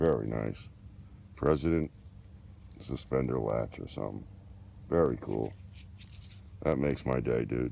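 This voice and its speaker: This man's very deep, low voice has a dark, mellow tone, vocal fry, and ordinary pitch variation. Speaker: metal detecting hobbyist. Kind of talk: casual vlog narration. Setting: outdoors. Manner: excited, animated.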